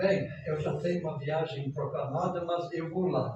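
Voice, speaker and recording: Amid noticeable background noise and audible room echo, a man speaks at a moderate pace in a high voice. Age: 80s+. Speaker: pastor. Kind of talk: sermon.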